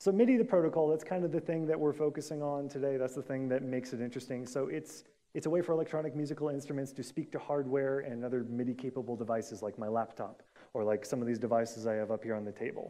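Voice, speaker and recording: This man delivers his words very fast, at a medium pitch and with ordinary pitch variation. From US Pacific Northwest. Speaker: conference speaker, software developer. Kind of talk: conference talk. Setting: stage with audience.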